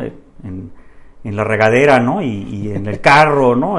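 A man speaks at a moderate pace. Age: 50s. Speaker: businessman and amateur tenor. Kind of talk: casual interview chat. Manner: halting, many repetitions.

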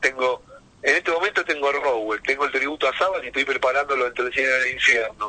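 Speaking with a Rioplatense accent, a man uses a medium pitch and ordinary pitch variation. Noticeable background noise runs through the clip. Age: 50s. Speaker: heavy metal drummer. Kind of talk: casual interview. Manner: animated.

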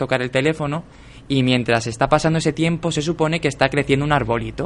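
Using an ordinary speaking voice, a man talks at a fairly quick pace with a fairly high pitch and ordinary pitch variation. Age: 20s. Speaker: podcast co-host, writer. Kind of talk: casual chat.

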